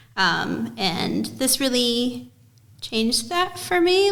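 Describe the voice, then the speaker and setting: A woman with an American accent is heard with audible room echo. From United States. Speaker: author and illustrator. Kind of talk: interview.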